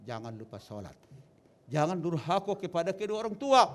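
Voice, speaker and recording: This man speaks at a fairly quick pace. His pitch swings very widely. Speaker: wedding advice speaker. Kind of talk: wedding speech.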